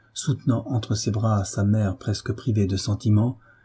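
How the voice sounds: Fairly even intonation in a natural reading voice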